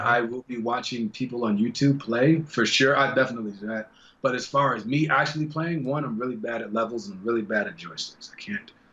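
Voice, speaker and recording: The speaker talks at a fairly quick pace with hardly any pauses, loudness swinging widely and pitch varying normally, over noticeable background noise. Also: man, medium pitch for a man. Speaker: voice actor. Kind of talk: interview answer. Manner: casual, animated.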